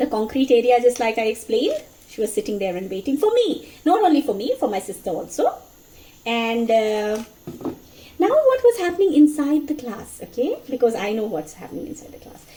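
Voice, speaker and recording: A woman with a Bengali accent and high pitch speaks at a fairly quick pace in an animated tone, with very wide pitch swings. Her loudness swings widely, and background noise is noticeable. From India, Mizoram (Bengali family). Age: 40s. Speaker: storyteller. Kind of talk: casual storytelling monologue. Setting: home kitchen, cooking.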